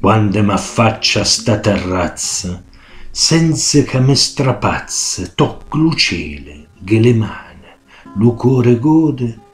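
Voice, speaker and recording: With music in the background, a man speaks very slowly in an Abruzzese accent, his intonation lively. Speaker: poetry reciter. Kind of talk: dialect poetry reading.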